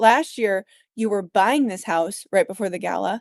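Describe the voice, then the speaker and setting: With a northern US accent, the speaker uses ordinary pitch variation. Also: woman. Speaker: podcast co-host, adoptive mom, nonprofit runner. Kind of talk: casual chat.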